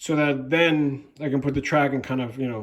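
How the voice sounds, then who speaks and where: The man's voice sits at a fairly high pitch. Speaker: model railroad hobbyist video maker. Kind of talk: casual video walkthrough. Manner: hesitant, many fillers.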